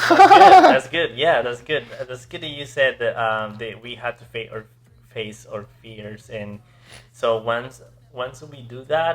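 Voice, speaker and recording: Speaking at a fairly slow pace with a non-native accent, a man uses a medium pitch and ordinary pitch variation, with big swings in loudness. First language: not English. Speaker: podcast host. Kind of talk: interview.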